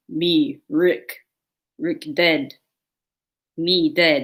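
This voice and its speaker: A put-on character voice at a middle pitch with very wide pitch swings. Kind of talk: crude, broken speech.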